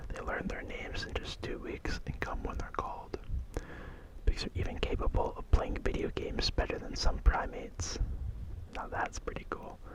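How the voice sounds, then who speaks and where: A whispering man with big swings in loudness, over noticeable background noise. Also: moderate pace. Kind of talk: ASMR soft whisper ramble reading fun facts. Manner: soft-spoken, whispered.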